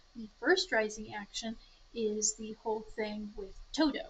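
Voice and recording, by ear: A woman speaks with a slightly husky edge. Her pitch varies in an ordinary way.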